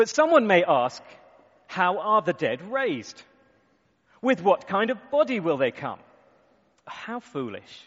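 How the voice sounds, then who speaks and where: A man talks at a fairly slow pace with long, frequent pauses. His pitch is high and swings very widely. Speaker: conference host. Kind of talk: interviewing speaker, reading scripture aloud.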